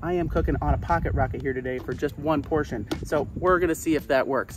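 A man talks at a very fast pace. The sound is dry with no echo, and music plays clearly in the background. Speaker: presenter. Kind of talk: tutorial. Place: open country.

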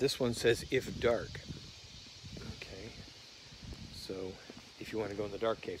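Moderately paced, a man talks with fairly even intonation in a dry sound with no echo, over light background noise. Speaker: traveler vlogger. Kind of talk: casual vlog chat. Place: open country. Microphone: phone near.

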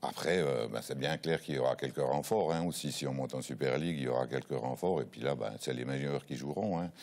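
A man talks with a very deep, low pitch and vocal fry. His pitch variation is ordinary. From Switzerland, Neuchâtel; Switzerland. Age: 60s. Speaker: football coach. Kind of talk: TV interview. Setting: studio. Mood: relaxed, reminiscing. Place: studio. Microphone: lapel.

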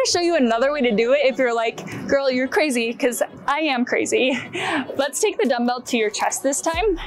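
Clear music plays behind a woman's voice. She speaks with a high pitch at a moderate pace. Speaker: fitness instructor. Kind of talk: tutorial. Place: garden.

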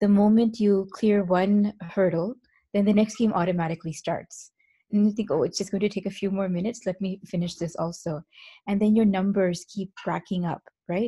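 A somewhat breathy, dark, mellow tone at a moderate pace, fairly even in intonation, over a quiet background. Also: woman. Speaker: presenter. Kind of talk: lecture. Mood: reflective, warm. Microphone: video call.

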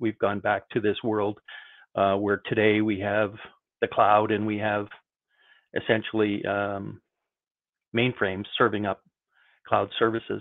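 Fairly low in pitch, a man speaks at a fairly slow pace in a flat monotone with long, frequent pauses. The background is quiet. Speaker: IT industry veteran. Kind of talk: panel discussion. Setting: video call. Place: home room. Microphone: video call.

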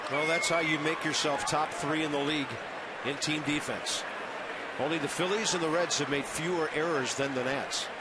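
A man speaks with an American accent over loud background noise. The sound is dry, with no echo. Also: moderate pace. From US Midwest. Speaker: play-by-play announcer. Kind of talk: live baseball play-by-play commentary. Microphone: headset.

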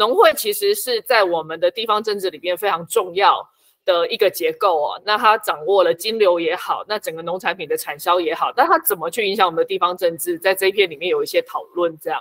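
A woman with a Taiwanese accent, fairly quick and with hardly any pauses, ordinary pitch variation, a dry sound with no echo and a quiet background. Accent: Taiwanese Mandarin. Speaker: book editor and local activist. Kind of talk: interview.

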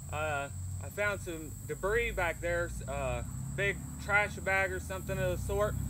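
A man talks at a fairly slow pace. Noticeable background noise runs through the clip. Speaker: bushcraft vlogger. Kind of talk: casual vlog chat. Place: waterside.

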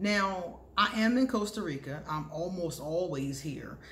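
Light background noise sits behind the recording. A woman speaks at a fairly slow pace. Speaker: vlogger, astrology reader. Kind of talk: casual vlog chat. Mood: cheerful, warm. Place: home room. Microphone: phone near.

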